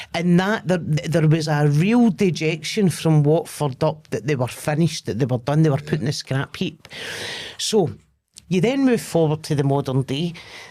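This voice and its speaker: With a dark, mellow tone, a woman speaks at a moderate pace in a very deep, low pitch with ordinary variation. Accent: Glaswegian. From Scotland, Lanarkshire near Glasgow. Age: 40s. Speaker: comedian. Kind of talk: casual chat.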